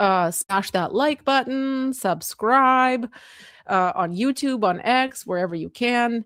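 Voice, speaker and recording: A woman with a high pitch and lively intonation talks at a very slow pace, with a dry, close sound and no echo. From Moldova, then Canada from childhood. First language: Russian. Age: 40s. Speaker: political commentator streamer. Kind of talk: live stream chat. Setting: live stream. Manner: casual, halting with fillers.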